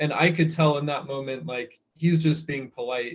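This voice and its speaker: A man with an American accent talks at a moderate pace and a fairly high pitch. His voice is somewhat breathy, with fairly even intonation. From United States. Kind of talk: interview answer.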